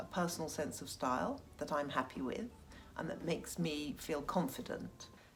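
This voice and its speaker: Somewhat breathy and with lively intonation, a woman speaks at a moderate pace. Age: 60s. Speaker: Instagram fashion influencer. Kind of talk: interview answer.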